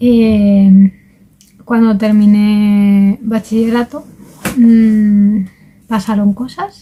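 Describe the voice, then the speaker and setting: A woman with a Spanish accent speaks at a very slow pace. Her fairly high voice stays monotone and flat. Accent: Spanish (Spain). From Valencia region, Spain. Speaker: vlogger, language learner. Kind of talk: casual vlog monologue. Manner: hesitant, with fillers.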